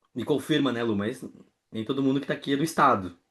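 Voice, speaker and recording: A man with a Porto Alegre accent, a fairly high pitch and ordinary pitch variation. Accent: Porto Alegre gaúcho. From southern Brazil, Porto Alegre. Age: 20s. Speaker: workshop speaker, community manager. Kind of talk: online workshop talk. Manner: casual, chatty.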